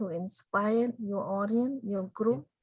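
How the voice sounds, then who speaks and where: Somewhat breathy, a woman with a Cambodian accent speaks at a fairly slow pace. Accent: Cambodian (Khmer). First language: Khmer. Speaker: genocide survivor and motivational speaker. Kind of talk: interview.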